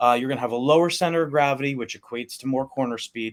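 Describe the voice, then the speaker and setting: Speaking very fast, a man delivers the words. His voice sits at a medium pitch. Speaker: RC car racer. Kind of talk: tutorial.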